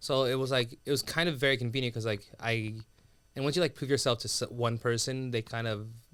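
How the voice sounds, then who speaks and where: The voice is an unremarkable speaking voice with fairly even intonation. It moves at a fairly quick pace. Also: man, medium pitch for a man. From US, raised from age three after Sudan. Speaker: comedian and TV writer. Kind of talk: casual chat.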